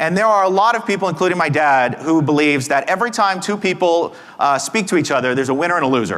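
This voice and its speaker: Amid audible room echo, a man with an American accent talks at a fairly quick pace with very wide pitch swings. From Texas. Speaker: conference speaker and negotiation teacher. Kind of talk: conference talk.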